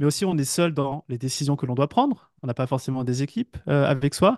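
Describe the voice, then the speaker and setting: With a dry, close sound, no echo and a quiet background, a man talks at a moderate pace and a fairly high pitch with ordinary pitch variation. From western France, village between Brittany and Paris. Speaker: entrepreneur and business coach. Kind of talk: interview. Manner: halting, many hesitations and repetitions.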